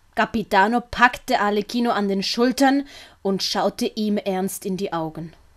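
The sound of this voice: A woman speaks at a fairly slow pace and medium pitch, with ordinary pitch variation.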